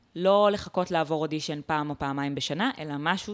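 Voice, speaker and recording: A woman with a very deep, low pitch and ordinary pitch variation speaks at a fairly quick pace in a very clean recording with a silent background. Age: 20s. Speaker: stand-up comedian. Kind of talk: casual interview chat.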